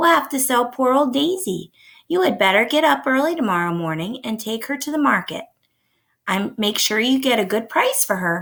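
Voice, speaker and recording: Putting on a raspy, high-pitched character voice with very wide pitch swings, a woman talks at a moderate pace on a very clean recording with a silent background. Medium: read story.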